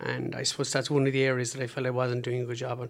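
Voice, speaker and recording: Delivered at a very fast pace, the speech comes in an Irish accent with monotone, flat intonation. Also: man. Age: 40s. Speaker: PhD researcher and cystic fibrosis patient. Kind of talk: interview. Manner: halting.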